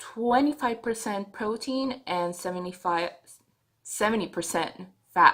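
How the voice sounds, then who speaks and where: A fairly slowly paced delivery in a non-native accent, with ordinary pitch variation. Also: woman, fairly high pitch for a woman. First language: not English. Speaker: vlogger. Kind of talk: video diary. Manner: halting.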